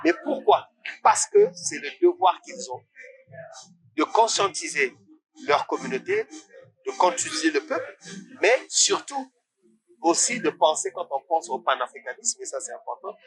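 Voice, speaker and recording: A man talks at a fairly slow pace, pausing often and at length. His loudness rises and falls in big swings. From Senegal. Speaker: artist and coach. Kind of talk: interview. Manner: hesitant, many fillers.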